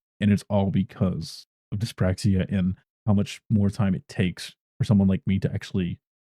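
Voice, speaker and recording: Quiet and mumbling, a man talks in a fairly low pitch with a dark, mellow tone. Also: dry, close sound with no echo. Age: 30s. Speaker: gaming streamer and video creator. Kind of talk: personal explainer monologue.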